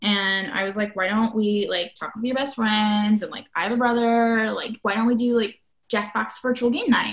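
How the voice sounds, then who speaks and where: In an American accent, a normal speaking voice moves at a moderate pace with fairly even intonation. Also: woman, fairly high pitch for a woman. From Nebraska. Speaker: political activist. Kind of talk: casual chat.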